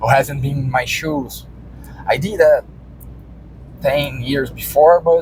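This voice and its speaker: A man talks at a fairly slow pace with a Brazilian Portuguese accent. Noticeable background noise is present. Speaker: vlogger and farmer. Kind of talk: casual vlog monologue. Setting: in a car, driving. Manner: halting, many repetitions and fillers.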